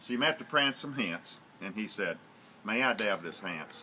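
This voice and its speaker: Noticeable background noise sits behind a man's voice. He speaks at a fairly slow pace with very wide pitch swings. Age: old. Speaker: storyteller. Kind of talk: storytelling to family. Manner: animated.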